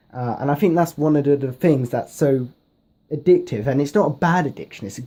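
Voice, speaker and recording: A man speaks with a fairly high pitch and a dark, mellow, somewhat breathy tone. His pace is fairly quick, and his pitch variation is ordinary. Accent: British. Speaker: gaming YouTuber. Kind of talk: casual vlog talk to camera. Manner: rambling with many fillers.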